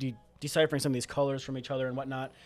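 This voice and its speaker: The setting is quiet. A man talks. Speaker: board game reviewer. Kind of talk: casual review discussion. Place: studio. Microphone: studio mic.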